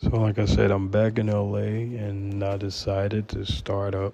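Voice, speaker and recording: Over a quiet background, a man speaks in a fairly low, dark, mellow, somewhat breathy voice, monotone and flat, at a fairly slow pace. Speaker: podcast host. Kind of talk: personal monologue. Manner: informal, unpolished.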